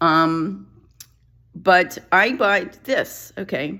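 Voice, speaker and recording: In a very clean recording with a silent background, a woman at medium pitch has a bright, sharp tone and vocal fry. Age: 60s. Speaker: vlogger. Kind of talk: casual vlog talk. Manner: rambling, self-interrupting.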